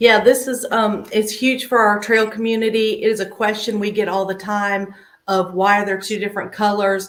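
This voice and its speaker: A woman's fairly high-pitched voice in an American accent, at a moderate pace, with monotone, flat intonation. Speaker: trail organization volunteer leader. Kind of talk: live stream announcement.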